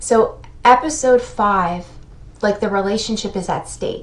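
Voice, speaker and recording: Noticeable background noise accompanies a woman speaking at a medium pitch and fairly slow pace. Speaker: therapist explaining TV shows. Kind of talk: video commentary.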